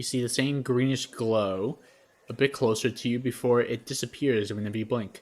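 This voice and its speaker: In a very clean recording with a silent background, a man with an ordinary speaking voice talks at a moderate pace with fairly even intonation. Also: medium pitch for a man. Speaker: game master. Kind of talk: tabletop roleplay narration.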